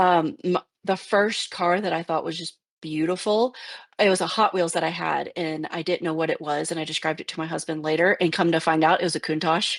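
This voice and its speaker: A woman with an American accent speaks in a plain, everyday voice at a fairly low pitch, with fairly even intonation and a fairly quick pace. The recording is very clean, with a silent background. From Virginia backwoods. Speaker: podcast guest, car enthusiast. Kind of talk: casual chat.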